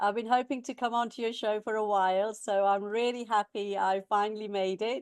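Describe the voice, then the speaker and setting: A woman's fairly high voice in an English Midlands accent at a moderate pace, dry and close with no echo, over a quiet background. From England, Warwickshire (Leamington). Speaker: education coach, former college manager. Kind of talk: interview. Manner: hesitant, many fillers.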